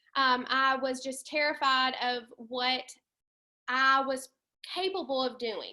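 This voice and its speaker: A woman projects a raised voice, high in pitch, in a Southern US accent. Her tone is bright and sharp. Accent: southern twang. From US South, western Tennessee. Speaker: network marketing leader. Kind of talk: webinar presentation. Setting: video call. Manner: casual, many filler ums.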